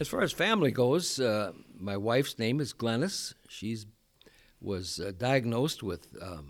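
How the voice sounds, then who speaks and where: A man with an American accent has a normal speaking voice at medium pitch, with lively intonation at a fairly slow pace. The recording is very clean with a silent background. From US Midwest, South Dakota. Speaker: retired pastor. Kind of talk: interview.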